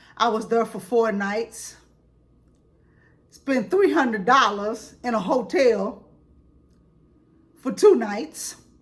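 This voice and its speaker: Delivery is very slow, broken by long, frequent pauses. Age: 60s. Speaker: credit advice vlogger. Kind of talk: casual personal vlog monologue.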